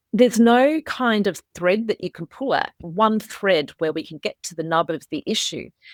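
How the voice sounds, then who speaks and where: Speaking with an Australian accent, a woman of medium pitch uses lively intonation and big swings in loudness. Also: moderate pace, hardly any pauses, dry, close sound with no echo. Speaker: author. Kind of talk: interview.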